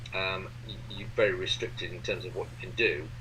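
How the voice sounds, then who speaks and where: The speech moves at a moderate pace. Room echo can be heard. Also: man. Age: 60s. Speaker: board game designer. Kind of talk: interview. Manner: halting, many fillers.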